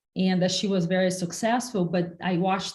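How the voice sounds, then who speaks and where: A somewhat breathy woman with a Brazilian Portuguese accent, at medium pitch and a moderate pace, in monotone, flat intonation. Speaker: entrepreneur and investor. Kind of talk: interview.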